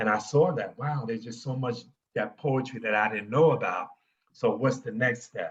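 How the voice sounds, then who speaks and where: Speaking at a moderate pace with an American accent, a man has an unremarkable speaking voice at medium pitch with ordinary pitch variation. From New York. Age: 60s. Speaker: poet. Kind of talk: interview.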